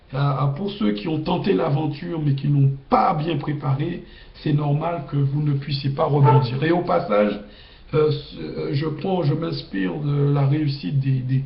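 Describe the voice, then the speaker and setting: Noticeable background noise and audible room echo surround a man's fairly high voice. He speaks at a fairly slow pace with ordinary pitch variation. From Guadeloupe, Capesterre-Belle-Eau. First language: Guadeloupean Creole (speaking French). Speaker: video blogger. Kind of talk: casual monologue. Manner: halting.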